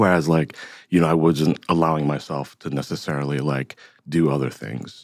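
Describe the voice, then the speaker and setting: A man with an American accent speaks at a moderate pace in a very deep, low voice, his intonation flat and monotone, with a dry, close sound and no echo. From US Midwest, Cincinnati, Ohio. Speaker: artist and musician. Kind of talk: interview conversation. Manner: hesitant, many fillers.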